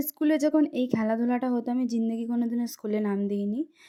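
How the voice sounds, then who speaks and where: The woman's voice sits fairly high in pitch and has a dark, mellow tone. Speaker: vlogger. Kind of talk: vlog narration. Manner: casual, chatty.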